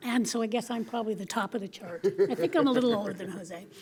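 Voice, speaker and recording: A woman's voice over noticeable background noise. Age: 60s. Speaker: LGBTQ+ activist. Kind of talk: panel discussion.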